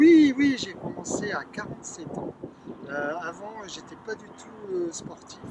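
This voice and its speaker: The pitch leaps very widely and the loudness rises and falls sharply. It moves at a very slow pace over noticeable background noise. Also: man, high pitch for a man. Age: 70s. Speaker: amateur trail runner. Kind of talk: post-race interview. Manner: halting with fillers.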